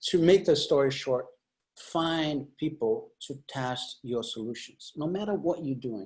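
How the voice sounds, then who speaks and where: At a very slow pace, a man with a non-native accent speaks with a fairly high pitch and ordinary pitch variation. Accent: foreign. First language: not English. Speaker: UX designer. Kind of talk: panel discussion. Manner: halting, many fillers.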